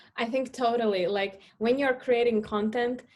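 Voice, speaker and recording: In a Russian accent, a woman speaks with monotone, flat intonation against a quiet background. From Latvia, Russian-speaking family. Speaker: startup founder, marketing expert. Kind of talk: podcast interview.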